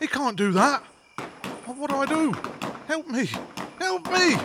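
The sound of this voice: The put-on character voice has a fairly bright tone and lively intonation. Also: man, extremely high pitch for a man, fairly slow pace.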